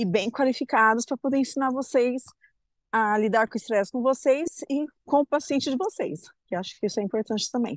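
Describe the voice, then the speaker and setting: This woman has an unremarkable speaking voice, talking at a fairly quick pace with ordinary pitch variation against a quiet background, in a dry, close sound with no echo. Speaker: health professional. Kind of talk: casual chat. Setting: video call. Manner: cheerful.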